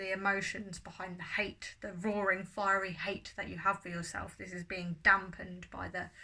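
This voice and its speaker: A bright, sharp tone in a southern English accent, with monotone, flat intonation at a moderate pace. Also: woman. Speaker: tarot reader. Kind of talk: tarot reading monologue.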